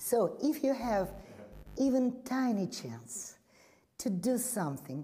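With a Russian accent, a woman speaks at a very slow pace with long, frequent pauses, her fairly high, somewhat breathy voice carrying a dark, mellow tone and very wide pitch swings. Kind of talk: panel discussion.

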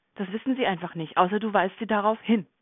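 Her pitch moves up and down in an ordinary way as the woman talks. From Germany. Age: 40s. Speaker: nurse. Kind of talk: interview. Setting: podcast interview.

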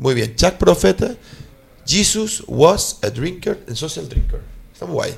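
With an animated tone, a man talks at a fairly slow pace and shows big swings in loudness. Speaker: radio host. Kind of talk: casual chat.

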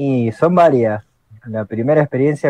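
Speaking with an Argentine accent, a man uses a medium pitch and dark, mellow tone at a moderate pace, with ordinary pitch variation and a dry, close sound with no echo. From Argentina. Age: 30s. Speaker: electrician and role-playing gamer. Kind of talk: casual panel chat.

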